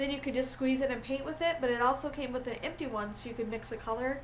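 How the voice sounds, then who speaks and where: There is audible room echo as a woman talks in a high voice with fairly even intonation. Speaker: crafting tutorial creator. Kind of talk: tutorial. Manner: casual, many fillers.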